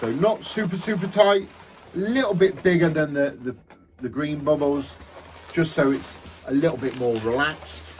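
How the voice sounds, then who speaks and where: A man with a Lincolnshire accent speaks at a fairly high pitch and a moderate pace, with lively intonation. He takes long, frequent pauses over noticeable background noise. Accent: regional Lincolnshire English. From England, Lincolnshire (Horncastle). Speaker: balloon artist instructor. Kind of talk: tutorial. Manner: casual, chatty.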